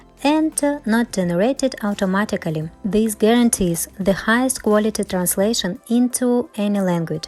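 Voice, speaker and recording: With music in the background, a woman talks at a fairly high pitch, her pitch varying in an ordinary way. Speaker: crochet teacher. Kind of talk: channel announcement.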